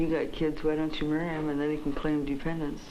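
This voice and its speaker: A woman speaks at a fairly quick pace in a very deep, low voice with monotone, flat intonation over noticeable background noise. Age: 20s. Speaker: psychiatric patient. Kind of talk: interview answer. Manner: clear, articulate standard English.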